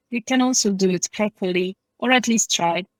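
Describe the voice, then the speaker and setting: A woman speaks with a Polish accent. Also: dry, close sound with no echo. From Poland. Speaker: English teacher. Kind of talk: interview. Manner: hesitant, many fillers.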